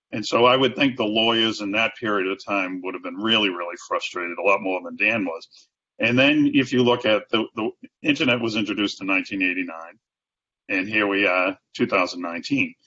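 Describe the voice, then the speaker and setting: A man talks at a fairly quick pace with a Boston accent. His voice is fairly low-pitched, with ordinary pitch variation. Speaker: sales and marketing executive. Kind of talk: interview answer.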